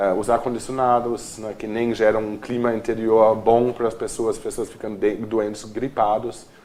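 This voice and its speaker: Noticeable background noise is present throughout. The pace of the speech is moderate. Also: man. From Germany, Cologne. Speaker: architect and urban planner. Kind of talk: TV interview.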